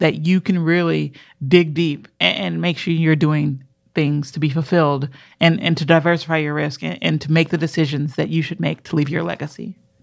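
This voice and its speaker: In a very clean recording with a silent background, a woman with a very deep, low pitch speaks at a moderate pace and with fairly even intonation. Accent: American. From Minneapolis, Minnesota. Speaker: podcast co-host. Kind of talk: casual chat.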